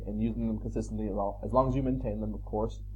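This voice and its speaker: In a room with audible echo, a man talks at a very fast pace. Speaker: pressure washing business owner and YouTube trainer. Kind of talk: tutorial. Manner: casual, conversational with fillers.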